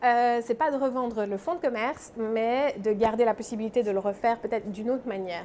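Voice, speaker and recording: This woman talks at a fairly quick pace. Her fairly high voice has ordinary pitch variation. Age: 30s. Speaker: pastry chef and shop owner. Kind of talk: interview. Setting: in her workshop. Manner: animated.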